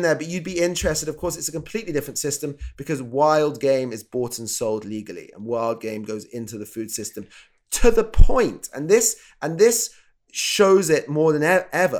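A man with a British accent speaks at a moderate pace, his fairly high pitch making very wide swings. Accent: English (UK). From England. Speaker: chef and TV show co-host. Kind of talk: casual interview. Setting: living in Canada.

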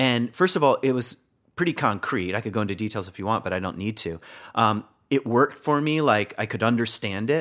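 In a very clean recording with a silent background, a man with an American accent talks at a fairly quick pace in an ordinary speaking voice, medium in pitch with lively intonation. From Virginia, US. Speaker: spiritual teacher, author and former pastor. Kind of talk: interview conversation.

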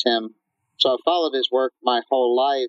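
A man uses an ordinary speaking voice, pitched medium and moving at a moderate pace. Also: dry, close sound with no echo. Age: 40s. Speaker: physician and marathon runner. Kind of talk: interview.

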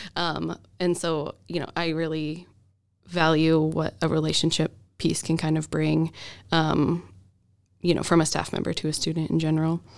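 A woman with an American accent, very deep and low in pitch, in a monotone, flat delivery at a moderate pace with long, frequent pauses, on a very clean recording with a silent background. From Idaho, Boise. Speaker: school counselor. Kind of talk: casual interview chat. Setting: studio.

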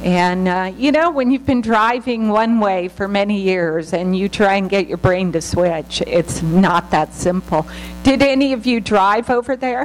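Lively intonation marks this fairly slow speech in an American accent, with hardly any pauses. Noticeable background noise can be heard. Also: woman, medium pitch for a woman. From United States. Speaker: missionary. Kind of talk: church talk. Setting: church.

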